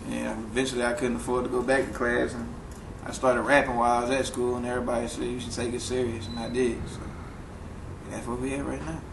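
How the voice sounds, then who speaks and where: Over noticeable background noise and audible room echo, a man with an American accent talks at a very fast pace. He keeps a medium pitch and fairly even intonation. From New Orleans, Ninth Ward. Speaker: rapper. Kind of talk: casual interview.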